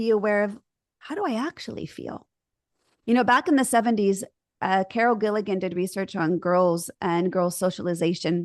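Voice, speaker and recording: A woman with a normal speaking voice, medium pitch and ordinary pitch variation, at a moderate pace against a quiet background. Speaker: marriage and family therapist. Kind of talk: interview conversation.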